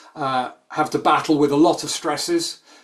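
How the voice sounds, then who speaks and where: This man talks at a moderate pace with a British accent. His intonation stays fairly even. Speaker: sports nutrition scientist. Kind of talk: expert talk in a webinar. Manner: hesitant with many ums.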